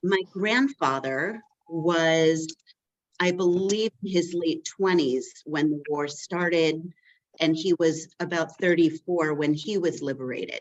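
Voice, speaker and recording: A woman speaks very slowly in a Western New York accent, her fairly low voice showing ordinary pitch variation. The sound is dry and close, with no echo. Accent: Western New York American. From Rochester, New York, US. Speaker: community relations worker, former teacher. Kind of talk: personal testimony at a meeting. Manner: halting, many fillers.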